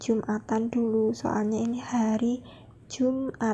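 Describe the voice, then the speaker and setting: Very slowly, a woman speaks in a fairly high pitch with a dark, mellow tone. Her intonation is monotone and flat. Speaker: vlogger, teacher-training student. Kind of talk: travel vlog narration. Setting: on a bus trip.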